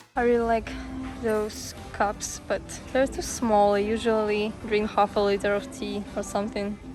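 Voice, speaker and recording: Over music in the background, a woman talks at a fairly slow pace in a fairly high pitch with fairly even intonation. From Ukraine. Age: 20s. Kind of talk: casual vlog talk to camera.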